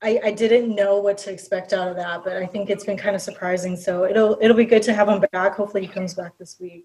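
A woman with an American accent at a very fast pace, medium in pitch, monotone and flat in intonation, with hardly any pauses and big swings in loudness. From Minnesota, Prior Lake. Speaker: sports fan. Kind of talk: casual chat.

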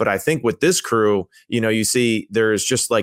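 In an ordinary speaking voice, a man at medium pitch talks at a moderate pace, the sound dry and close with no echo on a very clean recording with a silent background. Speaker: former NFL quarterback, football analyst. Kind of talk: casual sports analysis chat.

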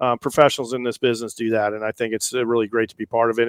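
Dry and close with no echo, a man's medium-pitched voice carries fairly even intonation. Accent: American. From Orange County, California. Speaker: professional golfer and patient advocate. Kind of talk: interview.

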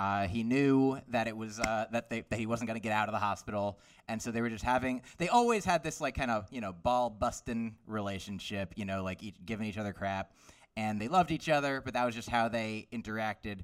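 On a very clean recording with a silent background, a man with an unremarkable speaking voice talks at medium pitch at a fairly quick pace with ordinary pitch variation. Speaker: stand-up comedian. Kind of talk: stand-up comedy.

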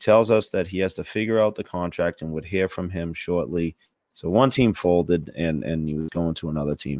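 In a dry, close sound with no echo and a quiet background, a man speaks at a fairly quick pace in a very deep, low voice with ordinary pitch variation. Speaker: podcast host. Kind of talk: casual banter. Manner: loud.

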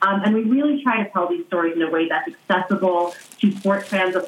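A woman speaks at a fairly quick pace and a medium pitch. It is an ordinary speaking voice with ordinary pitch variation. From US. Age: 30s. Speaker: sports journalist and podcast host. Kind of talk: interview. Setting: remote call.

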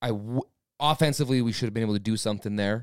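A plain, everyday voice from a man, medium in pitch, with ordinary pitch variation and a dry, close sound with no echo. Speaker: sports fan podcast co-host. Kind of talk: casual chat.

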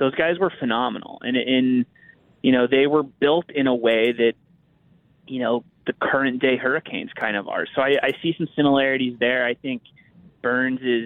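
A man with an American accent speaks in an ordinary speaking voice at a moderate pace, with medium pitch and fairly even intonation. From US, Pittsburgh. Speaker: hockey writer. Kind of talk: casual chat.

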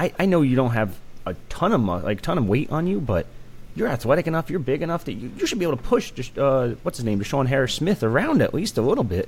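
At a very fast pace, a man with a fairly high pitch and vocal fry talks with very wide pitch swings. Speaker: co-host recruiting analyst. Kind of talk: casual sports chat.

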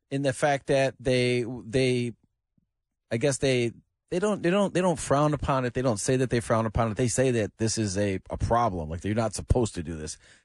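In a normal speaking voice, a man talks at a medium pitch and moderate pace with lively intonation, in a dry, close sound with no echo. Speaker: sports commentator. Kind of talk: casual radio chat.

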